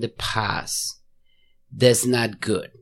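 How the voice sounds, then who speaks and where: The recording is very clean with a silent background. In it, a man speaks very slowly. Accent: Mexican. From Mexico. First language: Spanish. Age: 40s. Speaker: lawyer. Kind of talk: casual interview. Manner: halting.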